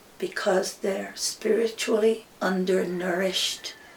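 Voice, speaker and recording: Clear background noise can be heard throughout. Over it, a woman talks at a medium pitch. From Hawaii, Maui. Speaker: hula teacher. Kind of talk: interview.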